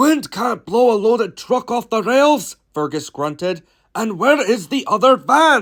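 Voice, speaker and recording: On a very clean recording with a silent background, a gruff, put-on character voice speaks at a fairly high pitch and a fairly slow pace. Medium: read story. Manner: gruff, brusque.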